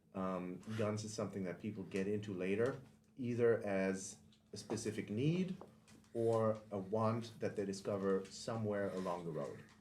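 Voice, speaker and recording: Audible room echo surrounds speech at a moderate pace with fairly even intonation. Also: man, fairly low pitch for a man. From Germany. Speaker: podcast host and firearms instructor. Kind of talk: podcast monologue intro. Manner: casual with frequent filler ums.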